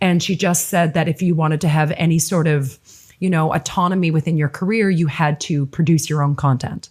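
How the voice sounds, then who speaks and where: Her pitch is very deep and low for a woman, and her voice is somewhat breathy. The intonation stays fairly even. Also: fairly quick pace. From Nova Scotia, Canada. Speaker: filmmaker and actress. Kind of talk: interview. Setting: podcast.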